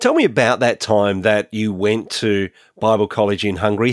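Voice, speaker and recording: In a very clean recording with a silent background, a man speaks at a fairly quick pace. His is a normal speaking voice with a fairly low pitch. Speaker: podcast host. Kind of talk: interview.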